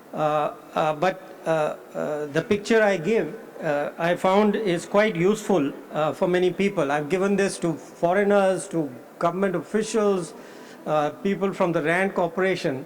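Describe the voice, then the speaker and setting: At a moderate pace, a man with a high pitch and ordinary pitch variation talks over noticeable background noise. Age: 70s. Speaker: economist. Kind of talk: conference keynote speech. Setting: conference hall with audience. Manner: halting, many fillers.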